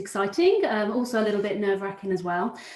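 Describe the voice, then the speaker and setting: The speaker has a slight Brummie accent and a fairly quick pace. Pitch variation is ordinary. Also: woman. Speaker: recruitment consultant. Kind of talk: webinar presentation. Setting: live webinar.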